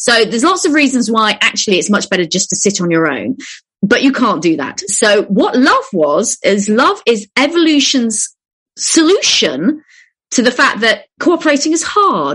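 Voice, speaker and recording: This woman's voice is high in pitch and swings very widely. Her pace is fairly slow. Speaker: evolutionary anthropologist, author and broadcaster. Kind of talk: radio interview answer, explanatory. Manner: conversational, clear.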